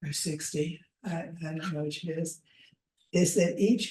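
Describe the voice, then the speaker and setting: Her pitch sits fairly low, and her tone is dark and mellow. The woman's intonation is fairly even, and she sounds somewhat breathy. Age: 80s+. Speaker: movement educator. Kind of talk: online class lecture.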